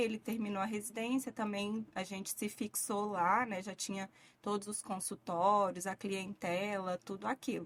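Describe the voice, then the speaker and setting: In a very clean recording with a silent background, a woman talks at a medium pitch and moderate pace. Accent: strong Minas Gerais. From Minas Gerais, Brazil (Vale do Jequitinhonha, near Bahia). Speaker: physician. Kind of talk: interview.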